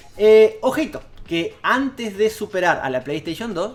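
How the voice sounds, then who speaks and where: Speaking with very wide pitch swings, a man rises and falls sharply in tone. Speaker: video game YouTuber. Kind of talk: casual video commentary. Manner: hesitant, with fillers and repeats.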